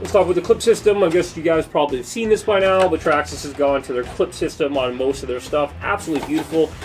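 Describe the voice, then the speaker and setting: Over music in the background, a man talks at a very fast pace in a fairly high, energetic voice with ordinary pitch variation. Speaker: RC hobby YouTuber. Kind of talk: product review. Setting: workbench. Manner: casual, energetic.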